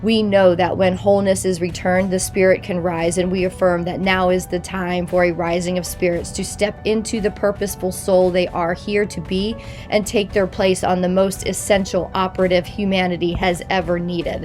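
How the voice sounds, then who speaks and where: Music plays behind a woman who speaks in a flat monotone at a moderate pace. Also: medium pitch for a woman. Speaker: consciousness coach. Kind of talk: spoken prayer.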